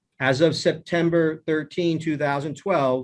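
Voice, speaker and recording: Over a quiet background, a man speaks in a plain, everyday voice. His pitch is fairly high and his intonation fairly even. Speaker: cross-examining counsel. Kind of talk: witness cross-examination.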